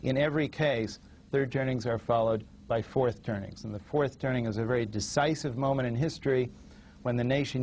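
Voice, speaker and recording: With an American accent, a man has a plain, everyday voice, medium pitch and fairly even intonation, moving at a fairly quick pace. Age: 40s. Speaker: author. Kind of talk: TV interview. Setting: TV studio with small audience.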